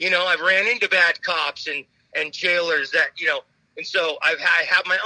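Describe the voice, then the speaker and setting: At a moderate pace, a man's voice comes across dry and close, with no echo. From Phoenix, Arizona. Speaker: musician in recovery. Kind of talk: recovery testimony interview.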